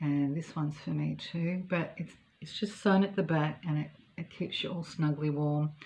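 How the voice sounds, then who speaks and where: With an Australian accent, a woman talks at a moderate pace in a very deep, low, somewhat breathy voice with fairly even intonation. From Australia, Melbourne. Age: 60s. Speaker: knitting vlogger. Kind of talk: casual chat. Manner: relaxed, hesitant with many ums.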